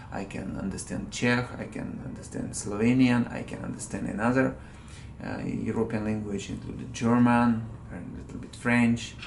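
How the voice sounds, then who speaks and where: With audible room echo and noticeable background noise, a man of medium pitch speaks at a fairly slow pace with fairly even intonation. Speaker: vlogger. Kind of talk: angry rant monologue. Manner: halting, many fillers.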